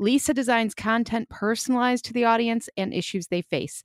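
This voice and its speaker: A woman speaks with a Chicago accent. The recording is very clean with a silent background and a dry, close sound with no echo. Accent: Chicago Midwestern American. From Chicago, US Midwest. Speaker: podcast co-host. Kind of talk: casual interview.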